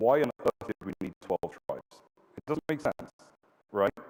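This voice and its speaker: With a British accent, a man talks at a moderate pace using ordinary pitch variation. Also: dry, close sound with no echo. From London, England. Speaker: public speaker and political commentator. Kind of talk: public talk. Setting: stage with audience. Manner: hesitant with fillers.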